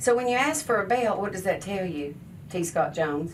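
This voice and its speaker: Moderate-paced speech from a woman, audible room echo and noticeable background noise behind her. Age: 60s. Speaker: charity founder and hairstylist. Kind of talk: radio talk show interview. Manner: animated.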